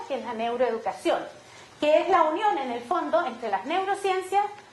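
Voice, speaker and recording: Over noticeable background noise and audible room echo, a woman with a high pitch talks at a fairly quick pace, her voice making very wide pitch swings. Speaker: education neuroscience expert. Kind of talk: conference talk. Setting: auditorium with audience. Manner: animated.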